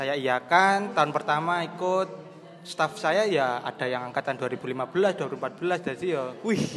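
A man speaks in a normal speaking voice at a fairly high pitch. His intonation is lively. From Banyuwangi, East Java, Indonesia. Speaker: university student. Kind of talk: casual chat.

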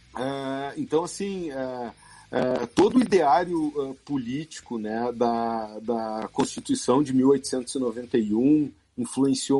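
A man talks at a very slow pace with ordinary pitch variation. His tone is dark and mellow. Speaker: football club historian. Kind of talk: interview.

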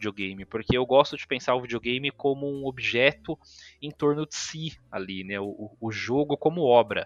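A man speaks at a moderate pace with lively intonation and a plain, everyday voice. The sound is dry and close with no echo, over a quiet background. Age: 30s. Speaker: video game researcher. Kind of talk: casual chat.

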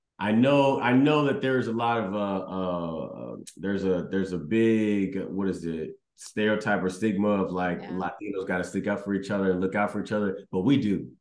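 A man with a fairly low pitch and ordinary pitch variation talks at a moderate pace with hardly any pauses, and audible room echo surrounds his voice. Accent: American. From Houston, Texas. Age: 30s. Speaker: comedian. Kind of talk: casual interview chat. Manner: halting, many fillers and repeats.

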